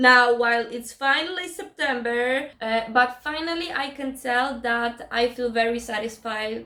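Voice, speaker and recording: A woman with a non-native accent speaks high in pitch with ordinary pitch variation. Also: fairly slow pace, hardly any pauses. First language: not English. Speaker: book vlogger. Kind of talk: casual vlog talk. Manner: halting.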